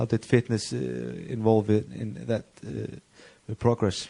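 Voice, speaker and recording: A man's fairly low, dark, mellow voice with an Icelandic accent at a fairly slow pace. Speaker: sports interviewer. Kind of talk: interview. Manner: halting, many fillers.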